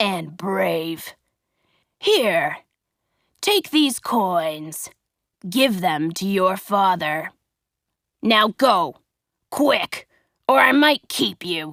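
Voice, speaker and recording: Putting on a gruff character voice, a woman growls and shouts at a medium pitch. She goes at a very slow pace with long, frequent pauses. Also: very clean recording, silent background. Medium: read story. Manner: shouting, gruff.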